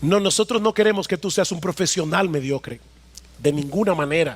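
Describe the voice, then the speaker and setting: A man talks in an animated tone with lively intonation. The sound is dry and close, with no echo. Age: 50s. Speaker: pastor. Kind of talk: sermon.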